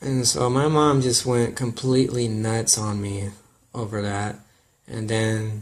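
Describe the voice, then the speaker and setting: At a fairly slow pace, a man talks at medium pitch with fairly even intonation. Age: 20s. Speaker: vlogger. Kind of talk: personal testimony. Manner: casual, halting.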